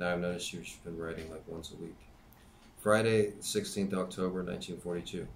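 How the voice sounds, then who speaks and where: The intonation is monotone and flat, at a moderate pace. Light background noise can be heard. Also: man, very deep, low pitch for a man. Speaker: YouTube channel host reading a book aloud. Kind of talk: reading aloud, diary reading. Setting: home-made video, amateur recording. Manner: conversational, casual commentary between readings, with filler words; plain, steady, unpracticed reading pace with hesitations and stumbles. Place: home room. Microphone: webcam.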